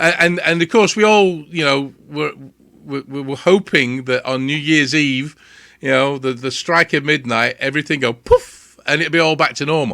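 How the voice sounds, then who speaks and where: On a very clean recording with a silent background, a man with a British accent speaks at a moderate pace with a fairly high pitch and a bright, sharp tone. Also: ordinary pitch variation. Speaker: radio show host. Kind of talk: radio interview, casual host talk.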